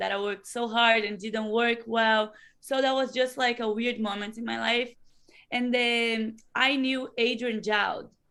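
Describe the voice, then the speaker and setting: With a Brazilian Portuguese accent, a woman speaks at a moderate pace in a fairly high pitch, her tone bright and sharp and her intonation monotone and flat. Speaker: professional wrestler. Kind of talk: interview.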